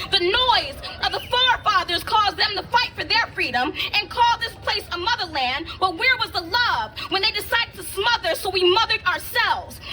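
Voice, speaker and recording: A raised, projected voice with lively intonation comes at a moderate pace over noticeable background noise. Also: woman, extremely high pitch for a woman. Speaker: spoken word poet. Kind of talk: spoken word performance.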